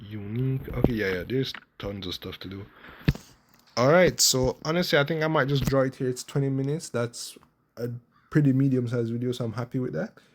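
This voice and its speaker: Soft-spoken, a man talks at a fairly quick pace and a medium pitch with ordinary pitch variation. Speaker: gaming youtuber. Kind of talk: casual gameplay commentary.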